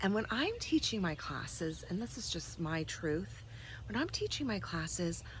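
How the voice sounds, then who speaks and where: With an American accent, a woman talks at a moderate pace amid audible room echo. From New Jersey, US. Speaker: spiritual teacher. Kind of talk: vlog monologue. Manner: casual, unscripted.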